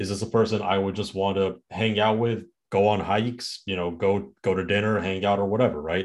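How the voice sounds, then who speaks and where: A man with a fairly low pitch talks at a fairly quick pace, with hardly any pauses and monotone, flat intonation. The background is quiet. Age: 20s. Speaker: podcast host. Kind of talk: casual chat. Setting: remote recording.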